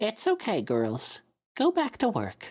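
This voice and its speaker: The speaker uses a put-on character voice, fairly high in pitch, at a fairly slow pace. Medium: read story. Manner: strained, struggling to stay even.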